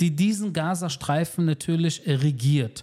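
Here a man has a high pitch and a dark, mellow tone. He talks at a fairly slow pace with ordinary pitch variation. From Germany, Berlin (Wedding). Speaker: military spokesperson. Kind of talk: interview. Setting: in person in Tel Aviv.

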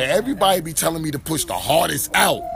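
The man talks at a fairly quick pace. Background noise is noticeable. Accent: American. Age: 30s. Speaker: rapper. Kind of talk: casual interview. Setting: live event venue.

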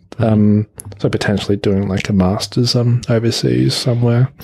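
This voice has an Australian accent and ordinary pitch variation, delivered at a fairly slow pace. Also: man. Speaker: office worker. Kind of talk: casual chat.

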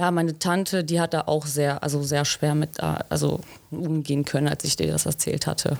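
Her very deep, low voice holds a monotone, flat intonation and very even loudness as this woman speaks at a moderate pace. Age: 20s. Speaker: trainee pipe fitter. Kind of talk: interview.

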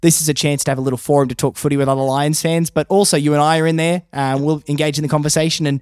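In an Australian accent, the voice sounds dry and close with no echo on a very clean recording with a silent background. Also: man. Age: 20s. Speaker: podcast host and radio announcer. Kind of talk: casual chat. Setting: studio.

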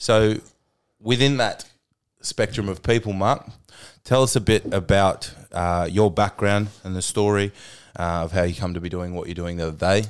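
On a very clean recording with a silent background, a man of fairly low pitch and ordinary pitch variation talks at a moderate pace with long, frequent pauses. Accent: Australian. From Tasmania, Australia. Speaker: podcast host and fitness trainer. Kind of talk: casual chat. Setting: studio.

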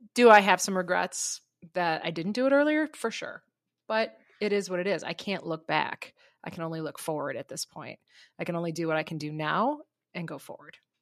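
A woman with a fairly low pitch talks at a fairly quick pace, her voice making very wide pitch swings and big swings in loudness, in a dry, close sound with no echo and a very clean recording over a silent background. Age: 50s. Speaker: teacher, podcast co-host. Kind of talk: casual chat.

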